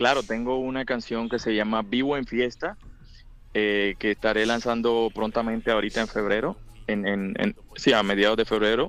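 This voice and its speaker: With a Colombian accent, a man speaks at a moderate pace and medium pitch, with fairly even intonation and music in the background. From Colombia, Buenaventura, Valle del Cauca. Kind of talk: interview. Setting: phone call.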